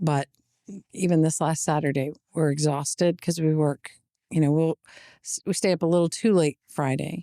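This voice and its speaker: A woman with an American accent speaks in a very deep, low voice with a dark, mellow tone and fairly even intonation. Her moderate pace has long, frequent pauses, in a dry, close sound with no echo. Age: 50s. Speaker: business owner. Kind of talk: casual chat.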